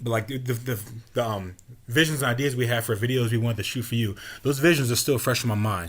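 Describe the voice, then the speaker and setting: Very fast and somewhat breathy, a man speaks with ordinary pitch variation. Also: medium pitch for a man. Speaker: podcast host and rapper. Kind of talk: casual chat.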